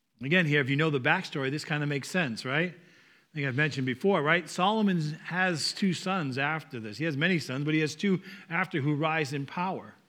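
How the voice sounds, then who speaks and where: Speaking with a Northeastern US accent, a man uses a fairly high pitch, a bright, sharp tone, ordinary pitch variation and a fairly quick pace. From US Northeast. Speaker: pastor or church speaker. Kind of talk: sermon. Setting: church. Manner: informal, joking.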